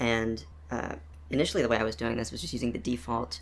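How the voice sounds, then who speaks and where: Lively in intonation and fairly quick, a man talks at a medium pitch with vocal fry. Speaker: game developer. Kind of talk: casual devlog narration. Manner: fast, hesitant with many fillers.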